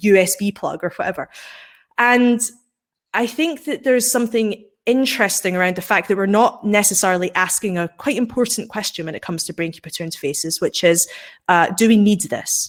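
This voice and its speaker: A woman talks in a Scottish accent. Her pitch is medium and her intonation lively. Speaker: science and technology writer, author. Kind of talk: panel discussion. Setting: live webinar.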